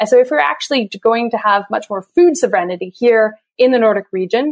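Dry and close with no echo, a woman's plain, everyday voice comes at a fairly high pitch and a fairly quick pace. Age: 30s. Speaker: sustainable food systems consultant. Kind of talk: interview.

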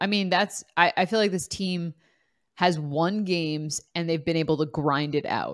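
In a very clean recording with a silent background, a plain, everyday voice moves at a moderate pace with ordinary pitch variation. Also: woman, fairly low pitch for a woman. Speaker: sports podcast host. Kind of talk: casual sports discussion.

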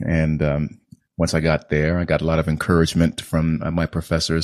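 Over a quiet background, a man with a resonant, very deep, low voice speaks at a moderate pace in a dry, close sound with no echo. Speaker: actor. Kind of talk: casual interview conversation. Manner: trained, controlled delivery.

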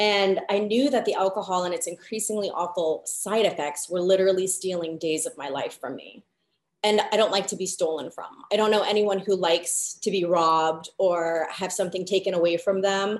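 This woman has an unremarkable speaking voice, medium pitch, fairly even intonation and a moderate pace. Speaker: guest sharing alcohol recovery story. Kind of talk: casual interview chat.

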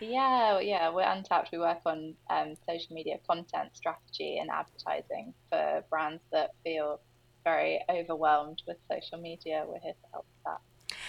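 With a British accent, a woman talks with hardly any pauses. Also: moderate pace, big swings in loudness. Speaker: agency founder and entrepreneur. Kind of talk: interview conversation.

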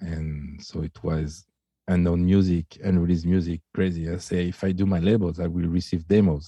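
A man with a French accent speaks at a moderate pace in a very deep, low voice, his intonation flat and monotone. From France. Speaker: DJ and music producer. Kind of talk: casual chat. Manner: halting; shy.

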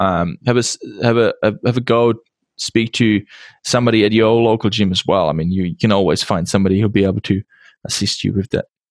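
A dry, close sound with no echo and ordinary pitch variation. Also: man. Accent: Czech. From Czech Republic. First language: Czech. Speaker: podcast host. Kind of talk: interview. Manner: halting.

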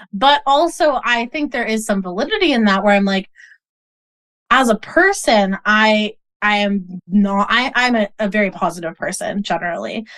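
A woman with an American accent and an unremarkable speaking voice talks at a moderate pace, her fairly high pitch carrying lively intonation. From US Northeast, Boston. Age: 20s. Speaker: model and activist. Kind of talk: interview conversation.

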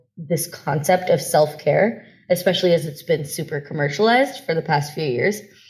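A somewhat breathy woman speaks at a fairly quick pace with lively intonation. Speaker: startup founder and self-care speaker. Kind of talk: workshop talk. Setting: video call.

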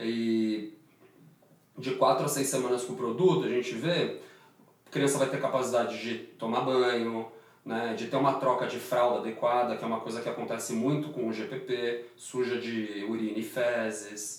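Over noticeable background noise and an audible room echo, a man speaks with fairly even intonation. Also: medium pitch for a man, moderate pace. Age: 30s. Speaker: orthopedic surgeon and startup founder. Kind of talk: interview.

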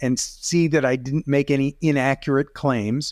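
An ordinary speaking voice from a man, fairly high in pitch with ordinary pitch variation, at a moderate pace, in a dry, close sound with no echo and a very clean recording with a silent background. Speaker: video coach and photographer. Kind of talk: casual chat.

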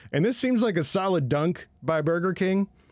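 This man has an unremarkable speaking voice with lively intonation. The recording is very clean, with a silent background. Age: 30s. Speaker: comedy podcast co-host. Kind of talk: casual chat.

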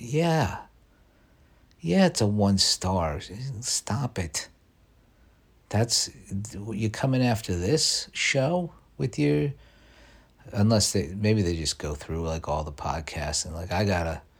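On a very clean recording with a silent background, a man speaks in a fairly low, somewhat breathy voice. His pitch swings very widely, and he talks at a very slow pace with long, frequent pauses. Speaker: podcast host. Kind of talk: casual solo monologue. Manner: halting, repeats words.

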